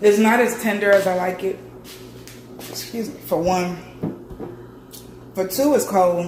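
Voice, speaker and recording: A woman at a medium pitch talks at a fairly slow pace with ordinary pitch variation and long, frequent pauses. Audible room echo and noticeable background noise fill the recording. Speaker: cooking vlogger. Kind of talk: casual vlog. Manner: casual, chatty.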